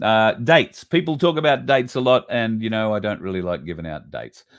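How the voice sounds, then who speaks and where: The speaker has an Australian accent and a moderate pace. Their pitch swings very widely. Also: man. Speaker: online show host. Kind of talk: casual livestream monologue.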